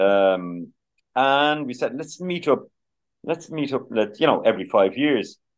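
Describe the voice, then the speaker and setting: A man speaks with a Dublin accent. His pitch swings very widely. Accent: Dublin Irish. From Ireland, Dublin (Finglas, Glasnevin). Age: 60s. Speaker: musician and former chef. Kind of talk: interview. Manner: halting, many fillers.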